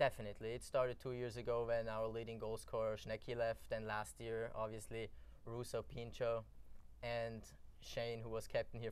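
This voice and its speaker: This man has an Austrian accent. He speaks at a moderate pace. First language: German. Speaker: college soccer player. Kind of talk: interview.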